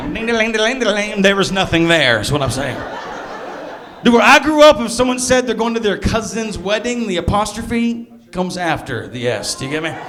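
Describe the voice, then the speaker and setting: With lively intonation, a man speaks at a high pitch and a fairly quick pace. Noticeable background noise and audible room echo are present. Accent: slight Southern US. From US South, Alabama (south of Birmingham). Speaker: stand-up comedian. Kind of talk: stand-up.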